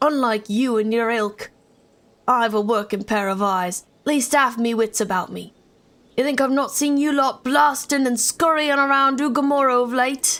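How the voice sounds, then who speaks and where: A woman's put-on character voice with a British accent, high in pitch, at a moderate pace. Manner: scolding, menacing.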